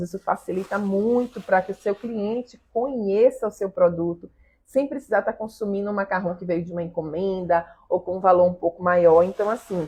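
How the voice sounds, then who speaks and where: At a moderate pace, a woman speaks in a medium pitch with a dark, mellow tone and ordinary pitch variation. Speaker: pastry chef teaching macaron making. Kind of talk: live stream class. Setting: live stream. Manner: loud; animated.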